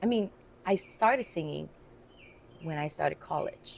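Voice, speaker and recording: Vocal fry marks the fairly low voice of a woman. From Vietnam, ethnic Chinese family. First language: Chinese / Vietnamese. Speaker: businesswoman and singer. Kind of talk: podcast interview.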